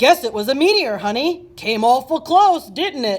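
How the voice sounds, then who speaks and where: A put-on character voice at a moderate pace. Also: woman. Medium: read story.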